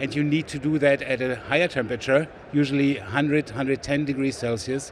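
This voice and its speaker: A man speaks with a German accent at a fairly quick pace. His pitch is fairly high. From Germany, West Berlin. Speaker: sales executive, biochemist. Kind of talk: trade show interview. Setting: trade show floor.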